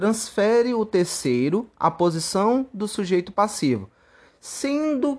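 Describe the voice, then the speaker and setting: The speaker moves at a very slow pace with very wide pitch swings over a quiet background. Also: man. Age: 20s. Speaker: law student. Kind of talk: scripted narration. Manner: formal.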